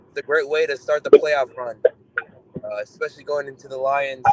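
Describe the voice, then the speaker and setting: Noticeable background noise is present. The speech moves at a fairly quick pace. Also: man, dry, close sound with no echo. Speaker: sports fan caller. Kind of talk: casual chat.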